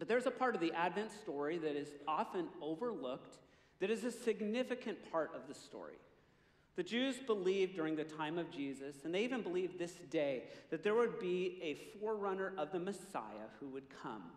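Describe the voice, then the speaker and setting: A man at a fairly quick pace with audible room echo. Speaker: pastor. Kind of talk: sermon. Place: stage. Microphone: headset.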